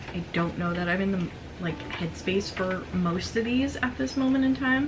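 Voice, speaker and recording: A woman at medium pitch talks at a moderate pace with ordinary pitch variation. There is audible room echo and noticeable background noise. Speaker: book youtuber. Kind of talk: casual book haul video with blurbs read aloud. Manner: excited, occasional stammering; reading aloud from book blurbs.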